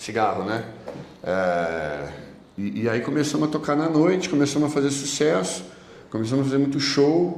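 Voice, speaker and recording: Amid noticeable background noise and audible room echo, a man speaks at a moderate pace with long, frequent pauses. His pitch swings very widely. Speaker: evangelical preacher, former addict. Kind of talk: testimony in podcast interview.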